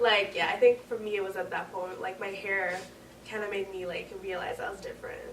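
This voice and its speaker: Over noticeable background noise and audible room echo, a woman talks fairly quickly at medium pitch with fairly even intonation. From Quebec. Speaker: university student. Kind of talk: casual chat.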